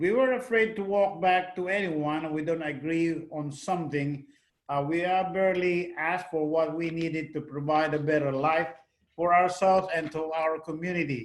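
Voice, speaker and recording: Fairly even intonation with a Filipino accent at a moderate pace. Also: man. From Philippines. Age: 70s. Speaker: retired navy veteran. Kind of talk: testimony. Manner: halting.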